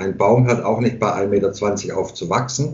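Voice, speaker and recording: Amid audible room echo, a man speaks at a fairly slow pace in a somewhat breathy voice. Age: 50s. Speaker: hairdresser and barber. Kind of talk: casual interview conversation. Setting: remote internet call from home.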